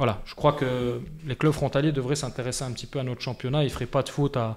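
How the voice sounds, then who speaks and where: At a fairly quick pace, a man with a medium pitch talks with fairly even intonation. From France. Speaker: football club president. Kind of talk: podcast interview. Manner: hesitant, many fillers.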